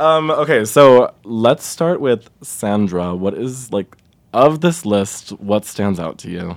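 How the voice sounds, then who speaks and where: Speaking at a very slow pace, a man at medium pitch swings very widely up and down in pitch. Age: 20s. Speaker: podcast co-host. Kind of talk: casual chat.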